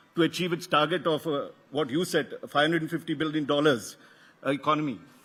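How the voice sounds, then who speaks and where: Talking at a very fast pace, a man speaks with a South Indian accent. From South India, Karnataka. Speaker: media executive, event host. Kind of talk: welcome address at conference. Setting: stage with audience. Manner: halting, with false starts.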